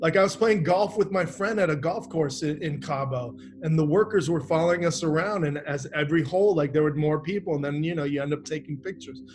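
A man with an American accent talks at a very fast pace and fairly high pitch, with hardly any pauses. Noticeable background noise is present. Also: ordinary pitch variation. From Miami, Florida. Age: 50s. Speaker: actor. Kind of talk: interview. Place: home room. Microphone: webcam.

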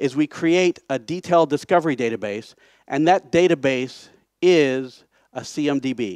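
An unremarkable speaking voice from a man with an American accent, pitched fairly high with lively intonation, comes through a dry sound with no echo and a quiet background. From United States. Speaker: conference speaker, software project founder. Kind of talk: conference talk. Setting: stage. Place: hall.

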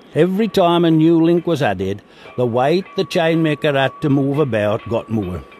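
At a moderate pace, a man talks with very wide pitch swings against noticeable background noise. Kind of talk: documentary narration.

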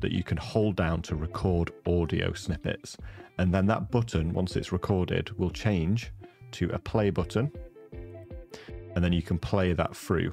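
Over faint background music, a man with a very deep, low voice speaks at a moderate pace with ordinary pitch variation, the sound dry with no echo. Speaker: streaming tech creator. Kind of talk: tutorial. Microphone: studio mic.

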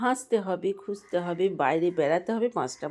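A woman is speaking. Her intonation is lively. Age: 50s. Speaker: homemaker vlogger. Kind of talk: casual vlog narration. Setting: at home. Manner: chatty.

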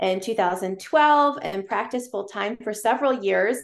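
Fairly slow speech from a woman, with ordinary pitch variation against a quiet background. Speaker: podcast guest, chiropractor. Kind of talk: interview answer. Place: home room. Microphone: video call.

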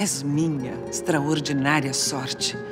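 Music plays clearly behind the speech. The woman talks at a very slow pace. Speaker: actress. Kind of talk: poetry reading. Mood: tender, melancholic, emotional. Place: studio.

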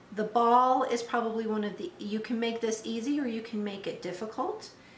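The woman talks at a moderate pace with ordinary pitch variation. Light background noise and audible room echo can be heard. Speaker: dog trainer demonstrating toys. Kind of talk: tutorial. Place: kitchen.

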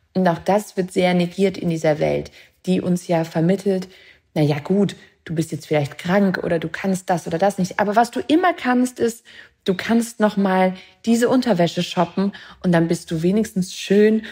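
On a very clean recording with a silent background, a woman speaks at a moderate pace in a dark, mellow, somewhat breathy voice of medium pitch with ordinary pitch variation. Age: 30s. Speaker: author and film director. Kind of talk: interview podcast.

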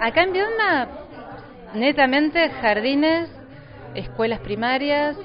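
A woman speaks at a fairly slow pace with crowd noise in the background. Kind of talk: interview answer. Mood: mildly frustrated about funding. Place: hall. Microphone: handheld.

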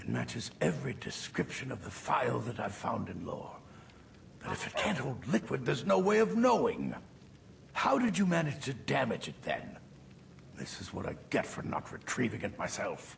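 At a moderate pace, the voice comes through with clear background noise. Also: man. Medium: machinima. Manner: curt, dismissive.

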